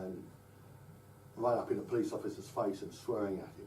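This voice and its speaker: A man with an English accent, with audible room echo. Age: 60s. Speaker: political speaker. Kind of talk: public address. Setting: live talk to audience. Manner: halting, many repetitions.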